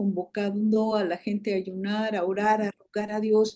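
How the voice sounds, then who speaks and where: At a very slow pace, a woman speaks with a dark, mellow tone and a fairly high pitch. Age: 60s. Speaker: prophet and show host. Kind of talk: panel discussion.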